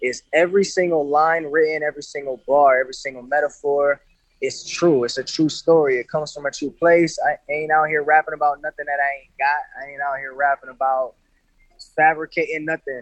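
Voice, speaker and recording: A man with an American accent talks at a fairly quick pace in a fairly high pitch, his intonation flat and monotone, his loudness swinging widely, and the sound dry and close with no echo. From Grand Rapids, Michigan, US Midwest. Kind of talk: casual interview.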